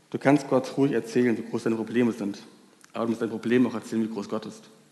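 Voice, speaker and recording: Speaking very fast, a man uses a dark, mellow tone at a medium pitch with monotone, flat intonation. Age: 20s. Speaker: volunteer youth preacher. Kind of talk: sermon.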